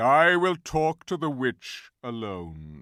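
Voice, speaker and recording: A put-on character voice growls throughout. Its pitch swings very widely. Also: man. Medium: read story. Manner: grave, measured.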